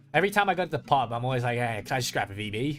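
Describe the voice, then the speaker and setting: A man's lively intonation with music in the background. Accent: American. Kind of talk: casual.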